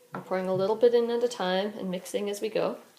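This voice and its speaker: Noticeable background noise beneath a fairly quick delivery. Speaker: granddaughter filming family cooking. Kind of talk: casual cooking demonstration.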